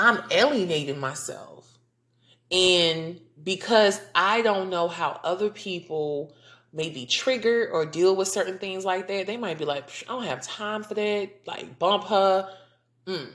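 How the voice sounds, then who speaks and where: A woman's animated tone at a medium pitch, with ordinary pitch variation, big swings in loudness and a fairly slow pace. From US South. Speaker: podcast host. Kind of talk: casual podcast monologue.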